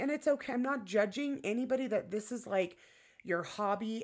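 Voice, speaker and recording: Over a quiet background, a woman keeps to a moderate pace. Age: 40s. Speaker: tarot content creator. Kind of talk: personal vlog monologue. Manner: halting, with many fillers. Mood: frank, candid, a bit defensive. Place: home room. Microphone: webcam.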